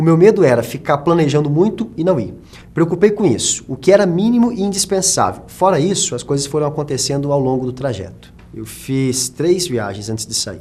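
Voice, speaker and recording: A man speaks at a moderate pace with a fairly high pitch. His tone is dark and mellow, and his pitch swings very widely. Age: 20s. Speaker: journalist and actor. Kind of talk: documentary interview. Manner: halting.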